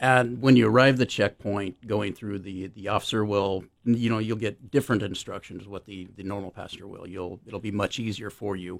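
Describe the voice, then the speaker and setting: In a normal speaking voice, a man with fairly low pitch talks at a moderate pace with fairly even intonation, big swings in loudness and hardly any pauses, on a very clean recording with a silent background. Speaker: airport security official. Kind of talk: radio interview.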